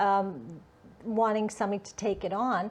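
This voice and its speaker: Against a quiet background, a woman talks in a fairly high pitch. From northern Alberta, Canada. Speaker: festival director. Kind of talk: interview. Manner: hesitant, many fillers.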